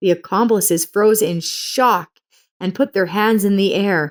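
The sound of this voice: A woman speaks fairly slowly at a medium pitch with ordinary pitch variation. The sound is dry and close, with no echo.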